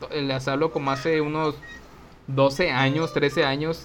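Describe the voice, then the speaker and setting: A man with a fairly high voice speaks at a fairly slow pace over noticeable background noise. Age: 30s. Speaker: podcast co-host. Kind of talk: show outro announcements; casual chat.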